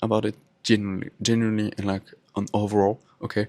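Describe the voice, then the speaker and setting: This man speaks with a French accent. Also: dry, close sound with no echo. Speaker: podcaster. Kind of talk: casual monologue. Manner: halting.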